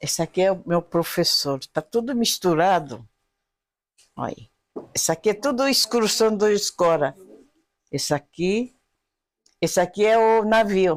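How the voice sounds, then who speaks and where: Long, frequent pauses break up the speech, delivered with a Japanese accent. The intonation is lively. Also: woman, medium pitch for a woman. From Japan (Okinawa region). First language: Japanese (speaking Portuguese). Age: 80s+. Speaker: elderly immigrant, taiko group supporter. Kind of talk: interview, casual chat.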